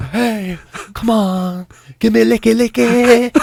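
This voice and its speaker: A man speaks at a fairly slow pace in a put-on character voice pitched high. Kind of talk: casual chat on a radio after-show. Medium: role play. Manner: coaxing, sultry.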